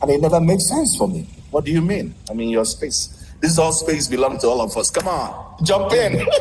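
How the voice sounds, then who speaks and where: Lively intonation carries through noticeable background noise. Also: man, fairly high pitch for a man, moderate pace. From Nigeria. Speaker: Nigerian community member, ministry worker. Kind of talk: casual interview.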